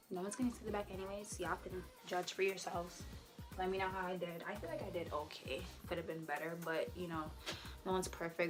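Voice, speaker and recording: Music plays in the background as a woman speaks at a very fast pace with fairly even intonation. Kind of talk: casual talk to camera.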